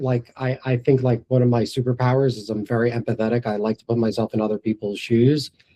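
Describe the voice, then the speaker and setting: With a New York accent, a man speaks at a moderate pace and medium pitch, his dark, mellow tone held to fairly even intonation. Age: 40s. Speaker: entrepreneur. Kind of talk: interview before live audience.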